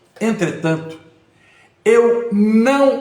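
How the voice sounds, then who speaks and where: Audible room echo surrounds a man as he talks. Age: 60s. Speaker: lawyer and mayoral pre-candidate. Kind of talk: live stream monologue. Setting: Instagram live. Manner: formal.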